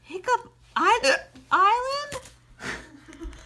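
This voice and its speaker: Squeaky and extremely high in pitch, this is a put-on character voice. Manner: hiccuping while speaking.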